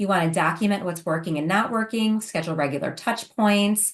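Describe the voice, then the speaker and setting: Fairly quick speech from a woman, medium in pitch, with ordinary pitch variation. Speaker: home care business consultant. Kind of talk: webinar presentation. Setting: online webinar. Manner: fast.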